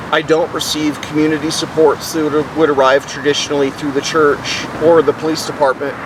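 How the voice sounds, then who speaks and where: A man talks at a fairly quick pace in a fairly high voice, with noticeable background noise behind him. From New Orleans, Louisiana. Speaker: person experiencing homelessness. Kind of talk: interview answer.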